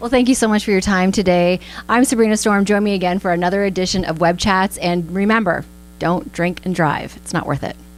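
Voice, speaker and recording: Music underneath fairly fast speech, its pitch varying in an ordinary way. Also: woman, medium pitch for a woman. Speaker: radio host. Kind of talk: radio interview. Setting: studio.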